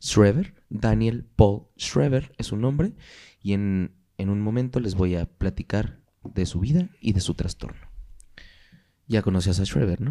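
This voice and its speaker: A man speaks at a fairly slow pace in a fairly low, dark, mellow voice. The recording is very clean, with a silent background. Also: ordinary pitch variation. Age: 20s. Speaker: podcast host. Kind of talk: casual chat.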